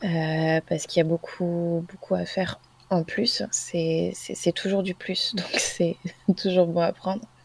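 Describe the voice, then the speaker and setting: There is noticeable background noise behind the speech. The pace is very slow. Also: woman. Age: 20s. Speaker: naturopath. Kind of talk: casual chat.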